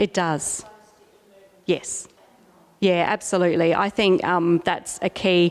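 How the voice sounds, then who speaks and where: A woman in an Australian accent, fairly low in pitch, very slow with long, frequent pauses, flat monotone intonation and very even loudness. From South Australia. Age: 40s. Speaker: artist. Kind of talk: gallery talk. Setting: gallery with audience.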